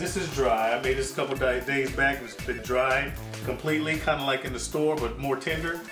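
Over clear background music, a man talks at a moderate pace with ordinary pitch variation. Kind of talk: casual cooking tutorial. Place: kitchen. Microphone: camera far.

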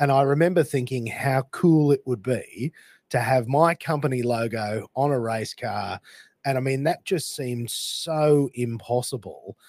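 On a very clean recording with a silent background, a man with an Australian accent speaks at a fairly slow pace in a medium pitch. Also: ordinary pitch variation. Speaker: podcast host. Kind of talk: interview. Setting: morning recording.

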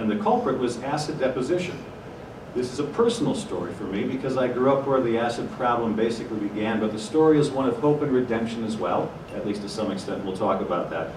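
Against noticeable background noise, a man speaks at a very fast pace with an American accent. His pitch varies in an ordinary way. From US Midwest, Ohio. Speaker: journalist and news anchor; journalist, news anchor. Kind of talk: conference talk. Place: hall.

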